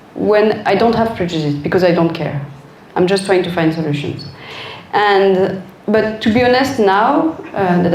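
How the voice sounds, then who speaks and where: Noticeable background noise and audible room echo around a woman speaking. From France. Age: 40s. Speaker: designer. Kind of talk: Q&A talk.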